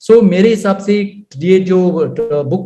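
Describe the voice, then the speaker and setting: The voice has a dark, mellow tone and ordinary pitch variation, heard with audible room echo. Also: man. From Goa, India. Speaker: author. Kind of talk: radio interview. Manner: mixes Hindi and English; hesitant with fillers.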